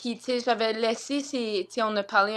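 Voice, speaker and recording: Fairly high-pitched female voice with fairly even intonation on a very clean recording with a silent background. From northern Ontario, Franco-Ontarian. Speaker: singer-songwriter. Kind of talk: interview. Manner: halting.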